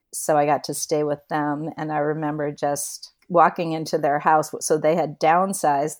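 A woman with an American accent speaks in a very deep, low voice at a moderate pace and a flat monotone. The recording is very clean with a silent background. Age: 60s. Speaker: travel guest. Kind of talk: casual interview.

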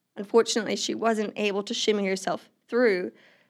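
In a slight Australian accent, a woman speaks at a fairly high pitch with monotone, flat intonation. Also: very clean recording, silent background. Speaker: non-profit ministry worker. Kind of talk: testimony.

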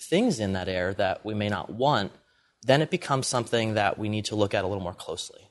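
A man with an American accent, an ordinary speaking voice, a fairly low pitch and ordinary pitch variation, against a quiet background. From Pennsylvania, US. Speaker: entrepreneur. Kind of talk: interview.

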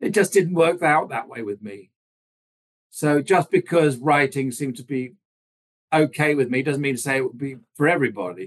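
Big swings in loudness and long, frequent pauses mark a man's fairly high voice at a moderate pace. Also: lively intonation. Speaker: stroke survivor and author. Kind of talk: conversational interview. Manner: humorous, candid, irreverent.

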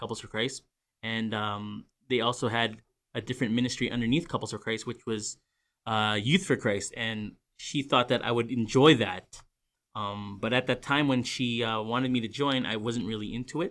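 With a Canadian accent, a man speaks at medium pitch and a moderate pace, his intonation fairly even. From Greater Vancouver, Canada. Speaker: church ministry director. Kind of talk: casual interview. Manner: halting.

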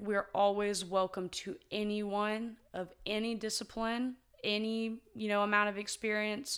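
With an American accent, a woman uses a normal speaking voice at medium pitch, keeping her intonation fairly even. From US small town. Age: 20s. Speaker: martial artist. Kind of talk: casual interview.

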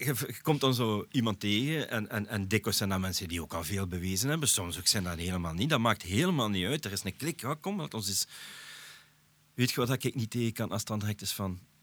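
With a Flemish accent, a man speaks at a fairly quick pace in a fairly low pitch with lively intonation, on a very clean recording with a silent background. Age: 40s. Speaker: podcast host. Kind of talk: casual chat.

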